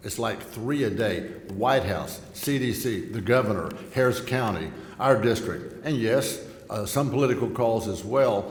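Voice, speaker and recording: Noticeable background noise and audible room echo accompany a man with a Texan accent who speaks at a fairly slow pace with ordinary pitch variation. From Texas Gulf Coast. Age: 60s. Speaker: congressman. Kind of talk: speech at a luncheon. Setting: luncheon event with live audience.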